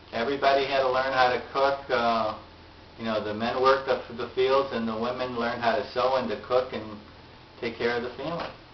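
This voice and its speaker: With noticeable background noise and audible room echo, a man with an American accent speaks at medium pitch in a monotone, flat intonation. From Chicago area, US. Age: 70s. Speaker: family elder interviewed. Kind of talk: family oral history interview.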